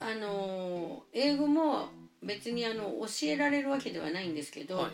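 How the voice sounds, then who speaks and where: Over background music, a woman speaks fairly slowly at a fairly high pitch with very wide pitch swings, and the room echo is audible. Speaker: preschool teacher. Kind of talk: interview.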